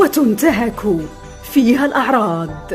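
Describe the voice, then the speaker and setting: A woman at a very slow pace with very wide pitch swings, music in the background. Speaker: voice-over artist. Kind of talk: documentary narration.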